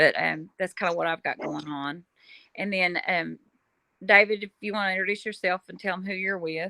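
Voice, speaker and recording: A woman with a Kentucky accent talks at a moderate pace with medium pitch, a bright, sharp tone and fairly even intonation, while her loudness swings widely. The recording is very clean and dry, close with no echo, over a silent background. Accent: Southern US (Kentucky). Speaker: paranormal podcast host. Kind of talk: casual interview.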